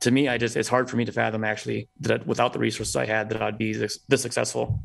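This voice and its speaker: A man speaks with vocal fry. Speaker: premed student. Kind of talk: casual chat.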